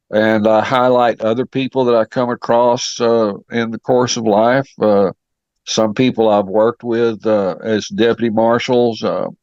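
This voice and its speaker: In a West Texas accent, a man talks at a fairly slow pace with monotone, flat intonation, and the sound is dry and close with no echo. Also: medium pitch for a man. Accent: West Texas drawl. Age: 70s. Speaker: author, retired law enforcement officer. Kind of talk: interview. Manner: halting, many fillers.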